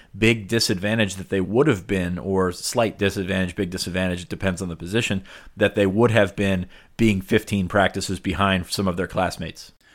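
At a moderate pace and with fairly even intonation, a man with a fairly low pitch uses an unremarkable speaking voice in a very clean recording with a silent background. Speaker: podcast co-host. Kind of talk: casual sports podcast discussion.

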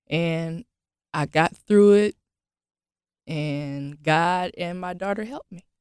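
A woman speaks at a very slow pace with long, frequent pauses. Her fairly low pitch shows ordinary variation, and the sound is dry and close with no echo. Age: 30s. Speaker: formerly homeless single mother. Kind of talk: interview.

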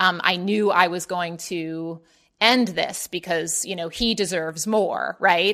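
A woman with an American accent speaks at a fairly slow pace in a normal speaking voice. Her pitch sits fairly low and her intonation stays fairly even. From US Mid-Atlantic (Baltimore). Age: 30s. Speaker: writer and editor. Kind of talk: casual chat interview.

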